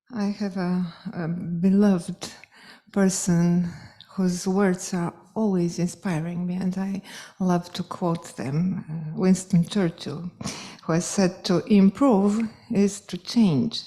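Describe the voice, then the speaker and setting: A woman speaks very slowly in a Polish accent. Her tone is dark, mellow and somewhat breathy, with fairly even intonation. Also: medium pitch for a woman. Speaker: piano professor. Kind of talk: closing speech. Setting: stage with audience. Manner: halting.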